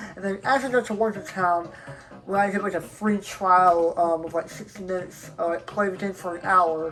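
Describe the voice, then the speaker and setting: A woman's voice with big swings in loudness amid noticeable background noise. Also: medium pitch for a woman, ordinary pitch variation, moderate pace. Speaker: gaming YouTuber. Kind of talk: let's play commentary.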